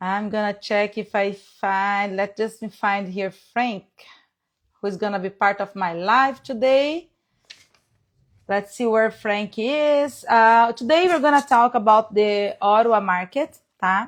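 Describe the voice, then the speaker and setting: Over a quiet background, a speaker with a non-native accent talks at a fairly slow pace with ordinary pitch variation. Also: woman, fairly high pitch for a woman. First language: Portuguese. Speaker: real estate agent. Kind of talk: live stream chat. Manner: halting.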